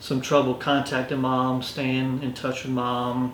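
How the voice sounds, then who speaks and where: Amid noticeable background noise and audible room echo, a man with a Lowcountry South Carolina accent speaks fairly slowly at medium pitch in a monotone, flat intonation. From US South, Orangeburg, South Carolina. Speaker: police lieutenant. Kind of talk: interview. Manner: words run together.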